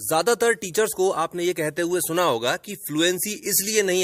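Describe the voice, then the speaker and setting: Dry and close with no echo, a man's high-pitched voice has a bright, sharp tone. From India, Hindi-speaking. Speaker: English teacher. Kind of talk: tutorial.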